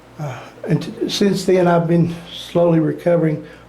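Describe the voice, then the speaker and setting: The voice stays monotone and flat, with noticeable background noise and audible room echo. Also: man. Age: 60s. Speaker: brain cancer patient. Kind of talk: personal testimony.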